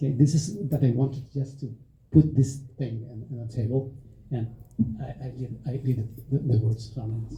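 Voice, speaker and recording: In a Spanish accent, the voice is somewhat breathy with a dark, mellow tone, fairly even intonation, big swings in loudness, a moderate pace and long, frequent pauses. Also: man, medium pitch for a man. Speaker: music festival director and agent. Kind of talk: panel discussion. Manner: halting, many fillers.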